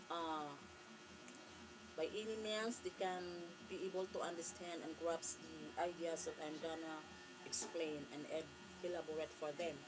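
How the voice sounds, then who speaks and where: With a Filipino accent, a woman speaks at a moderate pace in a fairly low pitch with ordinary pitch variation, leaving long, frequent pauses over noticeable background noise. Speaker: vlogger. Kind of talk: casual vlog talk to camera. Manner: halting.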